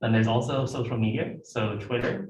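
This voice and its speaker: This man's voice is fairly low and somewhat breathy, with fairly even intonation. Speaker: graduate student presenter. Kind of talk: informal presentation. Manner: fast.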